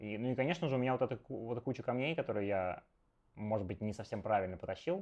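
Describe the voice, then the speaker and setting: A man's very fast, lively speech at a medium pitch against a quiet background. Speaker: Go streamer and teacher; Go streamer, teacher. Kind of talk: live game commentary stream. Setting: live stream with remote co-host. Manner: animated, chatty with many fillers. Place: home room. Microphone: earbuds.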